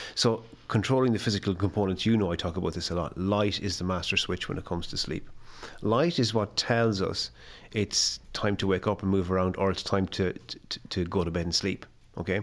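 With a western Irish accent, a man talks at a fairly quick pace and fairly low pitch, using fairly even intonation on a very clean recording with a silent background. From west of Ireland. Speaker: health scientist and sleep consultant. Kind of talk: casual interview. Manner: halting, repeats words.

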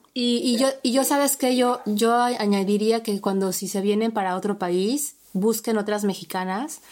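At a fairly slow pace yet with hardly any pauses, a woman speaks in a fairly high pitch with ordinary pitch variation. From Mexico. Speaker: podcast host. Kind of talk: podcast interview. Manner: halting, repeats words.

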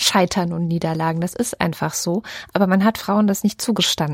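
A woman talks at a moderate pace with ordinary pitch variation, in a plain, everyday voice. The sound is dry and close, with no echo. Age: 30s. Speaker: podcast co-host. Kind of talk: casual chat.

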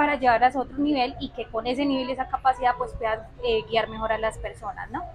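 A woman at a high pitch, fairly quick, with fairly even intonation. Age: 20s. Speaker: lawyer and economist. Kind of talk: interview. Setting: on location in Medellín.

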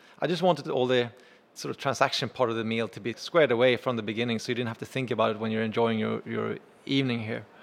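Speech in a Swedish accent runs at a very fast pace with ordinary pitch variation. The recording is very clean, with a silent background. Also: man, medium pitch for a man. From Sweden. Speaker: chef and restaurant owner. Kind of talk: interview.

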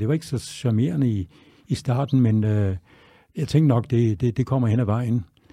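A man with a dark, mellow tone at a medium pitch on a very clean recording with a silent background. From Denmark, Tønder (Southern Jutland). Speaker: chef. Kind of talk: interview. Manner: halting.

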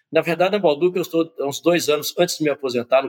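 Very fast speech from a man comes through with a dry, close sound and no echo. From Minas Gerais, Brazil (Conceição do Mato Dentro). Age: 60s. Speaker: business executive. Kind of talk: interview.

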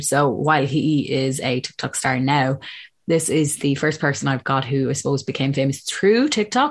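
A woman's very deep, low voice in an Irish accent, over a quiet background. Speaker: podcast host. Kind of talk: casual interview chat. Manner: chatty, upbeat.

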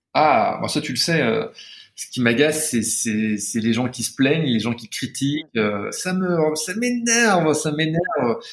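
Very slow delivery with very wide pitch swings. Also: man, fairly high pitch for a man. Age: 40s. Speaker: pastry chef. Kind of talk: casual chat. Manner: halting.

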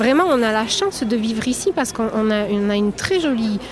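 A moderate pace, over noticeable background noise. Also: woman. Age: 30s. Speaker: farmer and market vendor. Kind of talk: interview.

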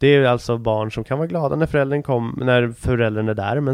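At a fairly quick pace, a man talks in an ordinary speaking voice, medium in pitch with ordinary pitch variation. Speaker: podcast host. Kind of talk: casual monologue.

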